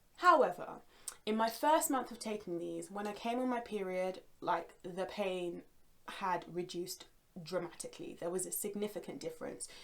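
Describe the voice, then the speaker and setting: A woman in a London accent talks at a moderate pace, her medium pitch moving with lively intonation. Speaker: yoga instructor. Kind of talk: guided yoga class; product recommendation. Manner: calm, soothing; casual, chatty.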